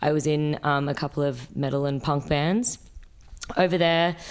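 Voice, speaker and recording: Her pitch is very deep and low. The woman speaks in an Australian accent. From Sydney, Australia. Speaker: fashion designer and musician. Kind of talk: casual interview chat. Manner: hesitant, many fillers.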